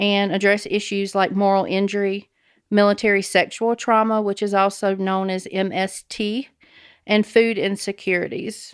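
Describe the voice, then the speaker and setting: At a moderate pace, a woman with a Southern US accent speaks in a flat monotone at medium pitch, in a very clean recording with a silent background. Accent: Southern US (Georgia). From Georgia, US South. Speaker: nonprofit director and army veteran. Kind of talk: interview. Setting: studio.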